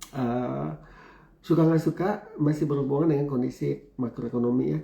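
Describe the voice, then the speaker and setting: The voice moves with ordinary pitch variation. Background noise is noticeable. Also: man, medium pitch for a man, moderate pace. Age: 50s. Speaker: university lecturer and business speaker. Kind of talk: talk show interview.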